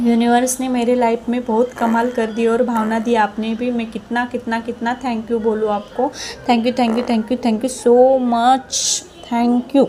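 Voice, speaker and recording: Over noticeable background noise, a woman speaks in a high voice. Her intonation is monotone and flat. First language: Marathi (speaking Hindi). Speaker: viewer sharing a success story. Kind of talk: testimony. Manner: halting, repetitive.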